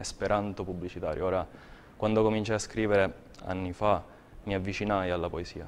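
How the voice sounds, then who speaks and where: A man talks at a fairly quick pace with a fairly low pitch and monotone, flat intonation. Long, frequent pauses break up his speech over light background noise. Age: 30s. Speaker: poet. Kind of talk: interview. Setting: TV studio. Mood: reflective, calm. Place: studio. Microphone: lapel.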